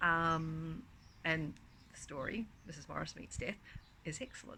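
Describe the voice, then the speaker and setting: A woman talks at a moderate pace. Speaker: author and book vlogger. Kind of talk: casual chat. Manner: hesitant, many ums.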